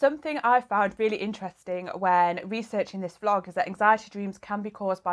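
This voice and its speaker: A woman's medium-pitched voice in a British accent, fairly quick, with ordinary pitch variation, on a very clean recording with a silent background. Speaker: mental health vlogger. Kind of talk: vlog monologue. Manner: casual.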